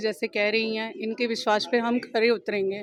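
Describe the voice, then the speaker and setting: Noticeable background noise sits behind a woman's voice. She speaks at a moderate pace with fairly even intonation. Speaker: election candidate. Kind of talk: press interview.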